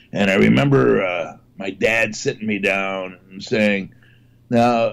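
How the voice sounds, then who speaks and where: A man is talking. His pace is fairly slow. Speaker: comedian. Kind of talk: casual chat. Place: home room. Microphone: video call.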